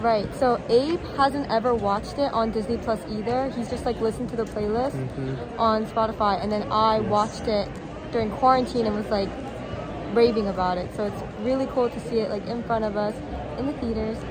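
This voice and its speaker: Crowd noise fills the background as a woman speaks at a fairly quick pace in a dry sound with no echo. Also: ordinary pitch variation. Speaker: vlogger. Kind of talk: casual vlog chat. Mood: excited, happy. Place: hall. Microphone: phone near.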